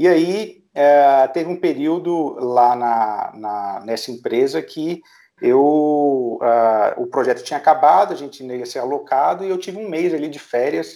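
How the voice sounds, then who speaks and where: A man's fairly high voice with a dark, mellow tone, lively intonation, big swings in loudness and hardly any pauses, on a very clean recording with a silent background. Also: fairly slow pace. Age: 30s. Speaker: startup founder and business director. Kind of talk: interview. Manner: hesitant, many filler sounds.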